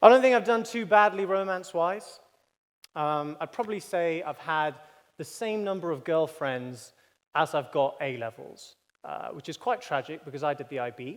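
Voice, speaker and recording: In a very clean recording with a silent background, a man with a high pitch speaks at a moderate pace, his intonation lively. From Birmingham, England. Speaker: student comedy debater. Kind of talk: comedic debate speech. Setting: debating chamber with live audience. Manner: animated.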